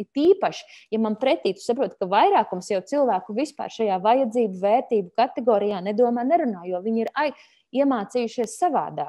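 A woman speaks in a fairly high pitch with lively intonation and a dark, mellow tone. The background is quiet. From Latvia. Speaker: mediator, conflict resolution trainer; conflict resolution trainer. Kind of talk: online webinar lecture. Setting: video call webinar. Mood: calm, thoughtful. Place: home room. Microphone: earbuds.

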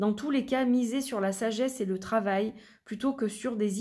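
This woman's voice is somewhat breathy, with a dark, mellow tone. She keeps a moderate pace. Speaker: tarot and oracle card reader, YouTuber. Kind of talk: product review, unboxing. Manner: chatty, with frequent fillers.

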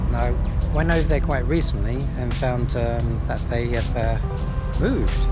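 A man at a moderate pace over loud music in the background, in dry sound with no echo. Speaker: travel vlogger. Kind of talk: casual vlog chat. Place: garden. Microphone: phone near.

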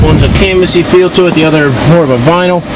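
The speech comes at a fairly quick pace over loud background noise. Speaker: car salesperson. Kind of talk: sales walkaround commentary. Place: street. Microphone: phone near.

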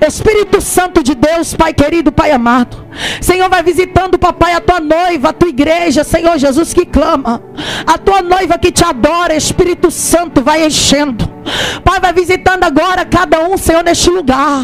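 At a moderate pace and with very even loudness, a woman speaks at an extremely high pitch with ordinary pitch variation over light background noise. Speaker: preacher leading prayer. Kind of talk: fervent prayer. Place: tent.

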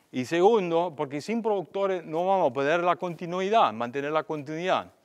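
A man with a German accent and lively intonation against a quiet background. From Germany. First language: German (speaking Spanish). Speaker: agricultural researcher; invited lecturer. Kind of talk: seminar lecture; lecture. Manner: halting. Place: hall.

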